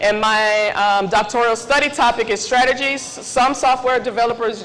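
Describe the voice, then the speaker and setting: Speech moves at a moderate pace, with ordinary pitch variation. Noticeable background noise and audible room echo are present. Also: woman. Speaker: tech mentoring speaker. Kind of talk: conference talk. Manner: loud; casual.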